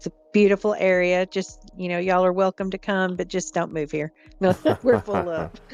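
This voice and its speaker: With music in the background, someone with a Southern accent speaks at a moderate pace with fairly even intonation, the sound dry and close with no echo. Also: woman, medium pitch for a woman. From Middle Tennessee. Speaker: chat moderator. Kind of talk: interview.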